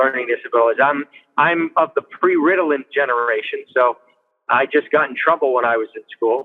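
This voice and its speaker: A normal speaking voice, moderate in pace, its pitch variation ordinary. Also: man. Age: 60s. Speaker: state legislator. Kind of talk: interview.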